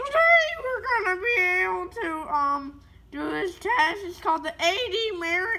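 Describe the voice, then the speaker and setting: In a put-on character voice of extremely high pitch, the speaker goes at a fairly slow pace. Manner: comic, mocking.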